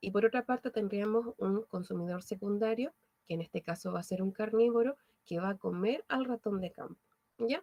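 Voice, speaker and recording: A woman speaks at a moderate pace in a dark, mellow tone, the sound dry and close with no echo. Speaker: biology teacher. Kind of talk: online lecture.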